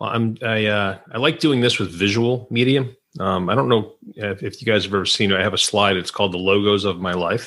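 In a very clean recording with a silent background, a man with an American accent talks in an ordinary speaking voice, fairly low in pitch, with ordinary pitch variation and hardly any pauses. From Western New York (Rochester). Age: 50s. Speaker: tech company CEO. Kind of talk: casual chat.

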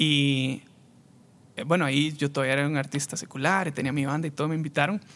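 Very fast and fairly even in intonation, a man speaks at a fairly high pitch. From Costa Rica, San José area. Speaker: musician. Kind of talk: testimony.

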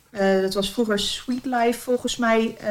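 A woman with a fairly high pitch speaks at a moderate pace and ordinary pitch variation, with noticeable background noise behind her. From Zeeland, Netherlands. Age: 30s. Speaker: interview guest with type 1 diabetes. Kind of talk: casual interview. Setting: at home.

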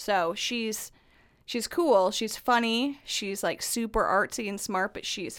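A woman with an American accent speaks at a fairly slow pace, her pitch fairly high and her pitch variation ordinary, in an unremarkable speaking voice. The recording is very clean, with a silent background. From northern US. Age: 30s. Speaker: guest, mother of two. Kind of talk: casual chat.

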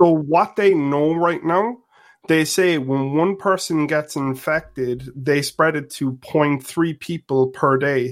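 A man with an Irish accent, fairly high in pitch, with ordinary pitch variation and a very slow pace. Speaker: caller. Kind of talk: call-in discussion.

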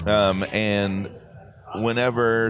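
With an American accent, a man speaks at a fairly low pitch with ordinary pitch variation amid noticeable background noise. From Texas, Dallas. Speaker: voice actor and anime dub director. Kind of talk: casual interview. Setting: live at an anime convention.

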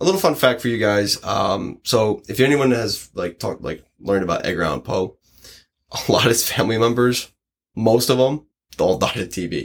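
At a moderate pace, a man with an American accent talks with lively intonation and vocal fry. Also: medium pitch for a man. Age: 20s. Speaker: podcast host. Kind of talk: casual chat.

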